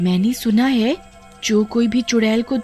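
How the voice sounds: The intonation holds fairly even in a natural reading voice.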